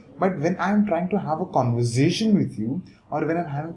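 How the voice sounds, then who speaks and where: A man with lively intonation talks fairly fast as noticeable noise runs behind him. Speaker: online business coach. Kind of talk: talking-head tutorial. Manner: fast, normally rushes.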